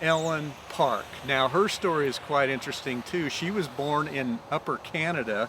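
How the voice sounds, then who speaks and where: With noticeable background noise behind him, a man speaks in a western US accent at a fairly high pitch. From Utah, Provo. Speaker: storyteller. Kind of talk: casual storytelling to camera. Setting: outdoors. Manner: casual, with filler words.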